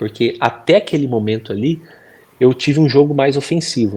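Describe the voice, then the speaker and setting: Pitch varies in an ordinary way, and the pace of the speech is moderate. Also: man. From Brazil, Bragança Paulista (São Paulo state). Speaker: professional footballer. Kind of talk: interview. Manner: casual conversational.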